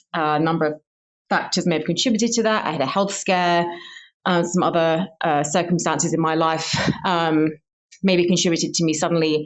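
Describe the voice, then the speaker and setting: At a fairly quick pace, a woman with a southern English accent speaks in a fairly low pitch with fairly even intonation. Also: very even loudness. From southern England, Hertfordshire. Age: 30s. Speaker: scientist, listener. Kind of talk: recorded personal testimony.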